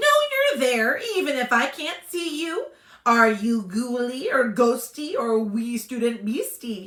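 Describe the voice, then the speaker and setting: A female-sounding voice uses a put-on character voice. It has a high pitch and a fairly slow pace. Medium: read story. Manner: greasy, fawning.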